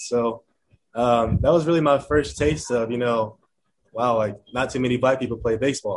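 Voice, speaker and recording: A man with an American accent and an ordinary speaking voice talks at a moderate pace with ordinary pitch variation. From Chicago suburbs, Illinois. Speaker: professional baseball player. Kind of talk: interview. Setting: video call.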